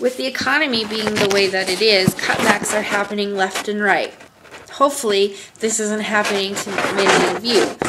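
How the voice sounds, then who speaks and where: A woman's medium-pitched voice with an American accent, moderate pace and ordinary pitch variation over noticeable background noise. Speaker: college student. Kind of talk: class presentation, cooking tutorial.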